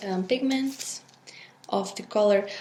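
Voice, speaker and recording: Against noticeable background noise, a woman talks very slowly at medium pitch with ordinary pitch variation. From Belgium. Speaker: resin art creator. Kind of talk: tutorial. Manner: hesitant with fillers.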